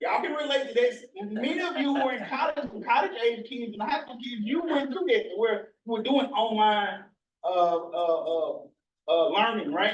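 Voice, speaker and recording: In an American accent, a man speaks. His pace is moderate. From US South, northern Mississippi. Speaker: researcher. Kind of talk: presentation.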